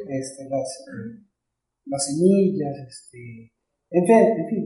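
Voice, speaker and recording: A man speaks in a dark, mellow tone. Room echo is audible. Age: 50s. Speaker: pastor. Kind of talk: casual chat. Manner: halting.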